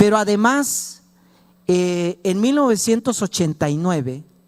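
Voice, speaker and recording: A man speaks very slowly with a Chiapas accent. His pitch swings very widely. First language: Tzotzil (speaking Spanish). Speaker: law professor. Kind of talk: lecture. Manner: hesitant, many fillers.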